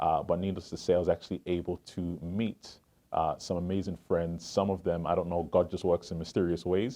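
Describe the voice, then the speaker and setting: The voice has a dark, mellow tone and monotone, flat intonation, delivered at a fairly quick pace. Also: man, very deep, low pitch for a man. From England, Southeast London. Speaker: financial advisor. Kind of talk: interview.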